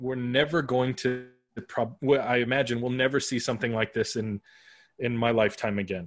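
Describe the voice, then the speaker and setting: This man talks at a moderate pace in a normal speaking voice, medium in pitch with fairly even intonation. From Arizona, US (west Phoenix). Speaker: podcaster and brand consultant. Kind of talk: casual interview chat.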